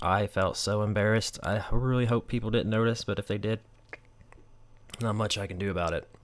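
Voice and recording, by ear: An American-accented man talks at a moderate pace in a fairly low voice with a fairly bright tone.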